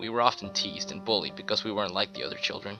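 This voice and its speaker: A man at a fairly low pitch, fairly quick pace and fairly even intonation, with music in the background. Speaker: creepypasta narrator. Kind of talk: horror story narration.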